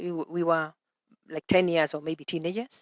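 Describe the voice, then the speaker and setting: A woman speaks at a fairly quick pace in a fairly low pitch. The sound is dry and close, with no echo. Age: 60s. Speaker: early childhood educator. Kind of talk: interview. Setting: outdoors. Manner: halting.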